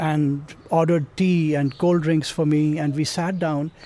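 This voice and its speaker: His pitch sits high for a male speaker. The tone comes across dark and mellow. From Pakistan, Punjab. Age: 50s. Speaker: travel writer. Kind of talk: personal storytelling.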